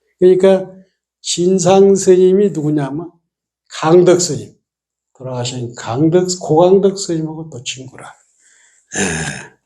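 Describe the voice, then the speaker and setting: A man's high-pitched voice with a dark, mellow tone, very slow pace, big swings in loudness, and long, frequent pauses. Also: ordinary pitch variation. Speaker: Buddhist monk giving a dharma talk. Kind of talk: sermon. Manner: casual storytelling with frequent fillers.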